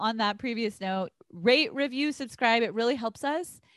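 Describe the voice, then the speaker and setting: Loud and animated, a woman with an American accent speaks in a high voice with lively intonation. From Texas. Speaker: podcast co-host, astrology. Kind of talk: casual chat. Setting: recording over internet in separate rooms of a house. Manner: animated, loud.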